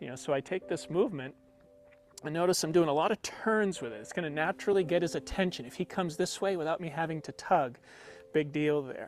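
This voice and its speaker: Fairly high-pitched male voice with ordinary pitch variation and music in the background. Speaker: horse trainer. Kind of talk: live training demonstration. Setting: video call. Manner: fast.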